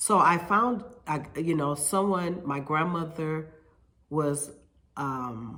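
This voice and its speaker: A woman with a very deep, low pitch and ordinary pitch variation, at a very slow pace, with audible room echo. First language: Spanish. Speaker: hair stylist and salon owner. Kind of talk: casual vlog monologue. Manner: halting, with fillers and repetitions.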